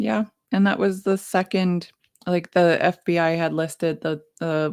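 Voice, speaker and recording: At a fairly slow pace, a woman with a slight Canadian accent speaks at a fairly low pitch with ordinary variation, the sound dry and close with no echo. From Alberta, Canada. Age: 30s. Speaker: morning show co-host. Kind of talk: casual chat.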